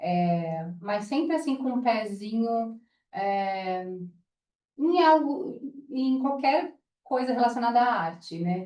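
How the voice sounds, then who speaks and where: Her tone dark and mellow, a woman speaks at a very slow pace with lively intonation. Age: 30s. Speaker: interior designer and entrepreneur. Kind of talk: casual chat. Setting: at a home.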